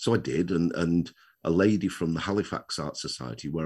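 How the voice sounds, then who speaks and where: A man's very deep, low voice with vocal fry at a fairly quick pace against a quiet background. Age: 60s. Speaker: retired children's author, wheelchair user. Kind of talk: casual interview.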